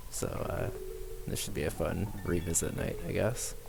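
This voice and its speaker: A man speaks in a relaxed tone with ordinary pitch variation. There is noticeable background noise. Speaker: game streamer. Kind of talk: casual chat.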